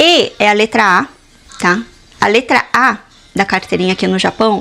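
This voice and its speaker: In a normal speaking voice, a woman talks at a moderate pace with lively intonation, a fairly high pitch and very even loudness. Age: 30s. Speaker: mother and lifestyle vlogger. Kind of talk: casual talk to camera.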